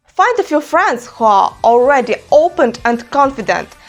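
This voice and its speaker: Delivered at a fairly slow pace, this voice with a Ukrainian accent has lively intonation. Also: woman. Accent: Ukrainian, reduced. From Ukraine. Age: 20s. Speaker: YouTuber. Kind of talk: self-help vlog talk to camera. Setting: her room.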